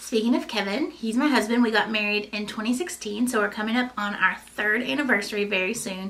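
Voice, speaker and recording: With an American accent, a woman talks fairly quickly at a fairly high pitch and ordinary pitch variation, amid noticeable background noise and audible room echo. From US South, Eastern Kentucky. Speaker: lifestyle vlogger. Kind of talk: casual chat. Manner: animated.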